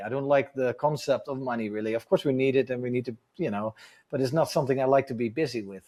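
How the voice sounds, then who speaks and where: Speaking very fast with a Dutch accent, a man uses a medium pitch and ordinary pitch variation on a very clean recording with a silent background. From Netherlands. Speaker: adventure motorcycle tour business owner. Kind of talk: casual podcast interview.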